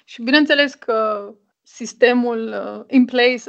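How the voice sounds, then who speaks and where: At a fairly slow pace, a woman talks in a normal speaking voice with fairly even intonation. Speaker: writer and anthropologist. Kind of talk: interview.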